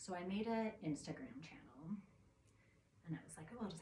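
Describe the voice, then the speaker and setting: A woman speaks at a fairly quick pace with a medium pitch. Her intonation is lively. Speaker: vlogger. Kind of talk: casual monologue. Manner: rambling, halting.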